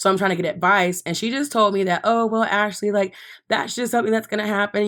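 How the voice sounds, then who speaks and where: A woman at a medium pitch with ordinary pitch variation and a very fast pace, on a very clean recording with a silent background. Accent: American. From Texas, Dallas. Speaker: podcast guest, fashion worker. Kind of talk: casual chat. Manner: animated.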